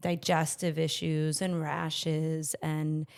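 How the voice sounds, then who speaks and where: The recording is very clean with a silent background, capturing a woman with a fairly low-pitched voice. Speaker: podcast guest, healing coach. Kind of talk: casual interview conversation.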